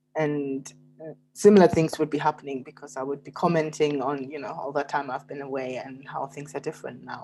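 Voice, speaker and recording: In a German accent, a woman speaks with a very deep, low pitch, a dark, mellow tone, and fairly even intonation. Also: fairly quick pace. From Germany. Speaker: novelist and poet. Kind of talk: interview conversation. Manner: hesitant, with fillers.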